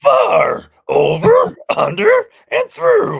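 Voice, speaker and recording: Someone uses a put-on character voice that sounds raspy. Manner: excitable.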